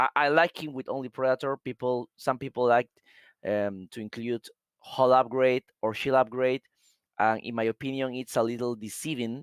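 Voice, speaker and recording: A man's medium-pitched voice with a Spanish accent, on a very clean recording against a silent background. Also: fairly even intonation, moderate pace, dry, close sound with no echo. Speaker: game commentator. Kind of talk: live commentary. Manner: halting.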